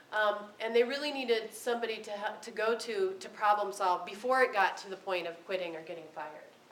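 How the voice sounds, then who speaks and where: A woman talks very fast at a fairly high pitch. Noticeable background noise and audible room echo surround her voice. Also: ordinary pitch variation, hardly any pauses. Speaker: special education professor. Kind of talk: lecture. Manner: halting, many ums and restarts.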